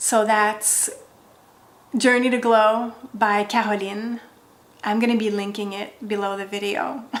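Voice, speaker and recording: A woman's fairly high voice in a French accent, fairly slow, with fairly even intonation and audible room echo. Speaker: wellness content creator. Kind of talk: direct-to-camera vlog.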